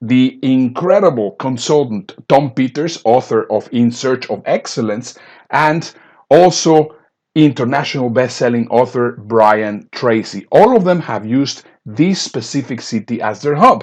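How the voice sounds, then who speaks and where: The speaker has a non-native accent, talks at a fairly slow pace and shows ordinary pitch variation. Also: man, medium pitch for a man. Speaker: business speaker and coach. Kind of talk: sales pitch.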